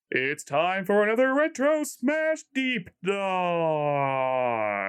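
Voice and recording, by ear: A man uses a put-on character voice, pitched high with very wide pitch swings. He delivers it at a very slow pace.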